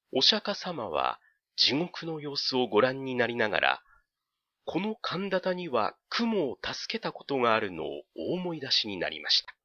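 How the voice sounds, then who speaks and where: There are very wide pitch swings and big swings in loudness as this man speaks. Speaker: audiobook narrator. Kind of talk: dramatic literary narration, audiobook reading. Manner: slow, measured, storytelling delivery with hushed suspense; formal, polite old-fashioned narrative tone.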